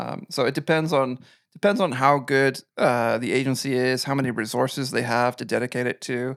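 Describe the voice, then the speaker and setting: This medium-pitched man speaks with a Canadian accent at a moderate pace. The recording is very clean, with a silent background and a dry, close sound with no echo. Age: 40s. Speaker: web agency owner. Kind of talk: podcast interview.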